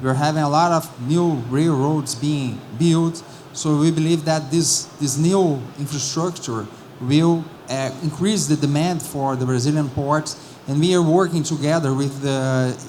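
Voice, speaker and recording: With noticeable background noise and audible room echo, a man speaks at a fairly slow pace in a fairly high pitch, his intonation fairly even. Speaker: port regulator official. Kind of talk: conference panel answer. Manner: halting, many repetitions.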